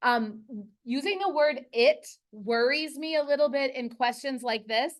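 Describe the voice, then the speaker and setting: A woman talks loudly with an American accent. Her pace is very slow. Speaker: high school earth science teacher. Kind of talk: classroom lesson. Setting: classroom.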